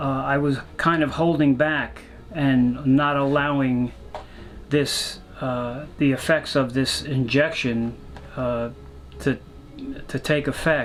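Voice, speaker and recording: A man speaks at a very slow pace with a fairly high pitch and monotone, flat intonation. Long, frequent pauses break up his speech, and background noise is noticeable. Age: 70s. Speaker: Vietnam war veteran. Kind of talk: personal testimony. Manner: halting, many fillers.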